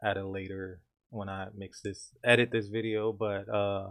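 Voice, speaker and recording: Flat, monotone delivery at a fairly slow pace. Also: man. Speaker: music producer and recording artist. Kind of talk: tutorial. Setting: home studio. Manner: casual, hesitant with fillers.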